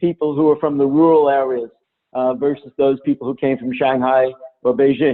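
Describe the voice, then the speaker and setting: With a New Jersey accent, a man talks at a fairly quick pace, his fairly high pitch carrying ordinary variation. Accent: New Jersey (Jersey City). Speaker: diversity and intercultural trainer. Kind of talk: webinar lecture. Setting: online webinar.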